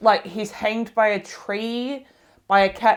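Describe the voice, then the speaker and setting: A woman speaks at a fairly slow pace, her pitch fairly high. Her intonation stays fairly even. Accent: Australian. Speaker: book vlogger. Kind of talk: casual vlog review. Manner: halting, self-correcting.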